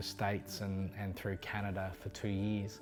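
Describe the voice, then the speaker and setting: Fairly quick pace from a man with an Australian accent and a fairly low pitch, music in the background. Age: 40s. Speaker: assistance dog user with quadriplegia. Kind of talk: personal testimony interview.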